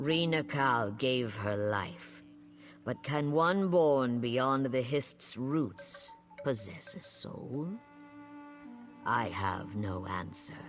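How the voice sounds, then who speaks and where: A man uses a put-on character voice at a medium pitch, speaking at a very slow pace with long, frequent pauses. Clear music plays in the background. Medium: video game. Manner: measured, formal, speaks in nature metaphors.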